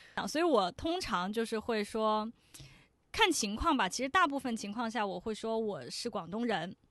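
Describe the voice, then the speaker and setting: A woman with a normal speaking voice and fairly high pitch talks at a moderate pace with lively intonation over a quiet background. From Shenzhen, China. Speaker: podcast host as guest. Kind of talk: casual interview chat.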